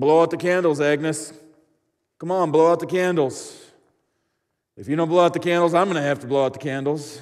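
In a very clean recording with a silent background, a man mumbles through a gruff, put-on character voice at a fairly high pitch and fairly quick pace, with long, frequent pauses, fairly even intonation and big swings in loudness. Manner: gruff, mumbling.

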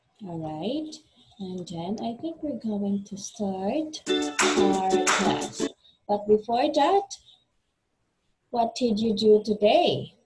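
Over clear music in the background, a woman speaks at a very slow pace with long, frequent pauses. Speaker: online English teacher. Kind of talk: lesson talk with a student. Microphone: video call.

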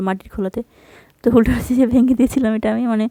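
The voice has a dark, mellow tone in a dry, close sound with no echo. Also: woman. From Bangladesh, Rajshahi (Godagari). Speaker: cooking vlogger. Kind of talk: cooking tutorial vlog narration. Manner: casual, hesitant with fillers.

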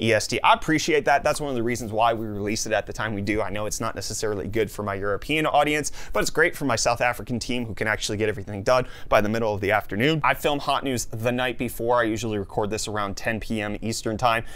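A man talks at a very fast pace with hardly any pauses. His tone is energetic and his pitch variation ordinary. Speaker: tech news YouTuber. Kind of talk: casual. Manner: fast talker. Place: studio.

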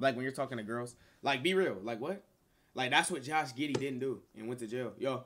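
An animated, fairly quick male voice with ordinary pitch variation over light background noise. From Texas. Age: 20s. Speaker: streamer. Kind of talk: casual chat. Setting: video call. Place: home room.

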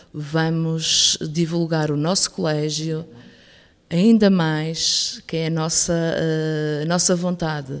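A woman in a northern Portuguese accent, very deep and low in pitch, at a very slow pace with fairly even intonation, against a quiet background. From northern Portugal, Penafiel; northern Portugal. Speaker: school director. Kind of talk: radio interview. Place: studio.

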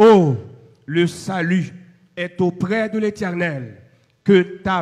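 The speaker is a man with a high voice. His pitch shifts in an ordinary way. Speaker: pastor. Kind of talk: benediction.

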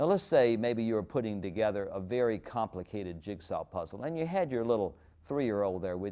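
Against a quiet background, a man with a warm tone and fairly low pitch talks at a fairly quick pace with lively intonation. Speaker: preacher. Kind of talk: sermon. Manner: conversational, story-driven, warm. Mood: warm, earnest. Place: studio. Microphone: lapel.

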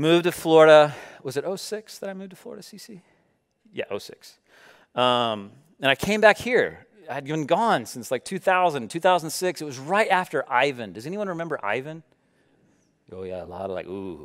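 With an American accent and an animated tone, a man speaks at a fairly high pitch with very wide pitch swings and long, frequent pauses over a quiet background. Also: moderate pace, big swings in loudness. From US South. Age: 30s. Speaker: pastor. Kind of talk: sermon. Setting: church. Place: church. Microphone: headset.

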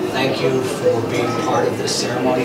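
Loud noise sits behind a man who talks at a moderate pace. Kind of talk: ceremony officiating. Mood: warm, playful. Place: church. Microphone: camera far.

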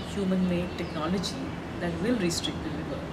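A woman talks over loud background noise. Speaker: interviewee. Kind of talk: interview answer. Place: street.

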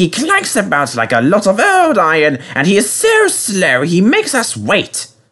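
In a very clean recording with a silent background, a man puts on a character voice, high-pitched for a man and bright and sharp in tone, swinging very widely in pitch at a fairly slow pace.

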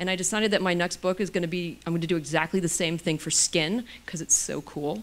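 At a very fast pace, a woman talks in a fairly low pitch with fairly even intonation. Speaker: physician and anti-aging author; guest. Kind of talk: lecture. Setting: stage with audience. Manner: casual, humorous. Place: hall. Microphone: handheld.

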